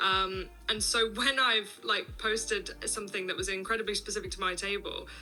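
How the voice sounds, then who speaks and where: There is music in the background. Over it, a woman speaks at a moderate pace. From English Midlands. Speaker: social media content creator. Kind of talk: podcast interview. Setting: video call.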